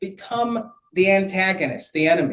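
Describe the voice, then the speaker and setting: A man with a Chicago accent speaks at a fairly slow pace. His pitch is high and his intonation lively. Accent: Chicago American English. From US Midwest, Chicago. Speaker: physician speaking on mental health. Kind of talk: panel talk. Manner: halting, many repetitions.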